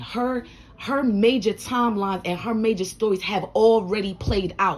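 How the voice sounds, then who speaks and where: Somewhat breathy and animated, a woman at medium pitch speaks at a fairly slow pace with ordinary pitch variation. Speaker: life advice vlogger. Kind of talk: motivational monologue. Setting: home room.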